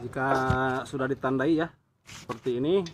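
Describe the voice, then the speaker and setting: There is noticeable background noise behind this man as he speaks. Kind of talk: tutorial. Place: workshop. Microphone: phone near.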